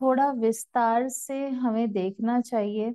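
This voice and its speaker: In a quiet background, a woman speaks very slowly with a high pitch and fairly even intonation. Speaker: scripture reader, teacher. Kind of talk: spiritual talk to camera. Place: home room. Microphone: lapel.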